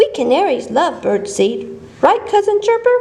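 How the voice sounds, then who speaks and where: A woman's squeaky put-on character voice at an extremely high pitch and moderate pace, over light background noise. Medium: read story. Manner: chirpy.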